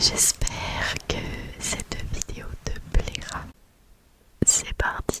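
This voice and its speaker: A whispered voice moves at a very slow pace with long, frequent pauses over noticeable background noise. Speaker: ASMR creator. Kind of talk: casual ASMR intro to viewer.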